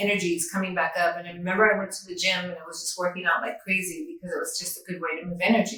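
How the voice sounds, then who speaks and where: A woman of medium pitch with a normal speaking voice and ordinary pitch variation. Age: 60s. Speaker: near-death experiencer, yoga teacher and author. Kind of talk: interview testimony.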